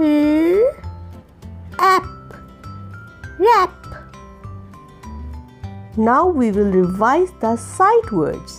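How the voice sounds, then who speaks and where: Music plays behind a woman with a high pitch who talks very slowly with long, frequent pauses, her pitch swinging very widely. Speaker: teacher. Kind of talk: children's phonics lesson. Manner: slow, clear.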